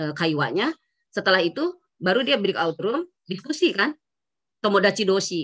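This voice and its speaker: The woman keeps a moderate pace, and the background is quiet. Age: 50s. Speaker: university lecturer of Japanese. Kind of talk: lecture. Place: home room. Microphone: video call.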